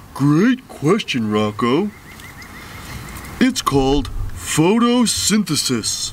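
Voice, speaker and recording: A man's cartoonish character voice, high in pitch and very slow, full of long, frequent pauses, with clear background noise. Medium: puppet. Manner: patient, friendly.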